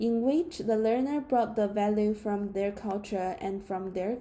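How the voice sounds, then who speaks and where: A woman with a Chinese accent has a fairly high pitch with ordinary variation and a dark, mellow tone. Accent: Mandarin Chinese-accented English. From China. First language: Mandarin. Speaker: student. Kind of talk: class presentation. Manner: read from script.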